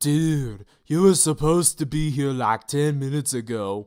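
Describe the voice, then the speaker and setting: In a put-on character voice, a man talks at a moderate pace and a fairly high pitch, on a very clean recording with a silent background. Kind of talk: laid-back slangy.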